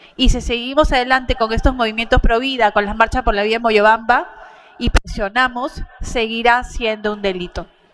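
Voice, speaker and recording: Amid noticeable background noise, a woman speaks with a high pitch and ordinary pitch variation. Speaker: pro-life activist speaker. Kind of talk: conference talk.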